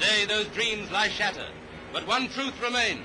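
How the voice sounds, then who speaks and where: A man's fairly quick, fairly even delivery amid noticeable background noise. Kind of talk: newsreel narration.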